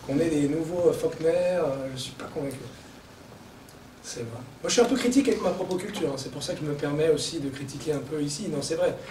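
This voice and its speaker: A man with a fairly high pitch talks at a fairly quick pace with lively intonation. Noticeable background noise and audible room echo surround him. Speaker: writer and journalist. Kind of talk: book launch talk. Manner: fast; animated.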